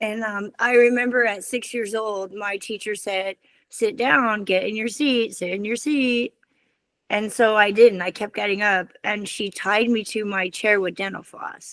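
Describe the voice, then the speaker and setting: A woman speaks in an ordinary speaking voice at a fairly slow pace, with a fairly high pitch and fairly even intonation. The recording is very clean with a silent background. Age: 60s. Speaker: children's author and former school counselor. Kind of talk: interview.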